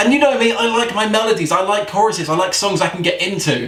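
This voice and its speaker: A high-pitched man talks at a fairly quick pace with lively intonation. Audible room echo and noticeable background noise surround him. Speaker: metal music vlogger. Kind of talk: casual music review vlog. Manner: fast; laid back.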